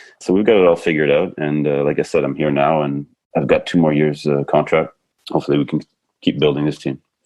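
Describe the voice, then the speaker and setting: A man talks at a very fast pace in a very deep, low pitch. His intonation stays fairly even. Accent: slight French. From Canada, British Columbia. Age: 50s. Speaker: basketball coach. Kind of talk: podcast interview.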